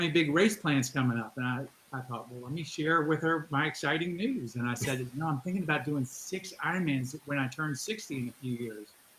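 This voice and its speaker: With an unremarkable speaking voice, a man speaks at a fairly high pitch with ordinary pitch variation. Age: 60s. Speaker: endurance athlete. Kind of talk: interview.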